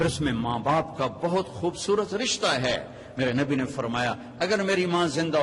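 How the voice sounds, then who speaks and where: A man with an unremarkable speaking voice is talking. His intonation is lively. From Pakistan. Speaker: Islamic preacher. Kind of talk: religious sermon.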